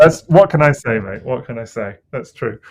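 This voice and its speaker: A man talks at a fairly quick pace with ordinary pitch variation in a very clean recording with a silent background. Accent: British. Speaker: toy collector podcast co-host. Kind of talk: casual chat. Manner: relaxed.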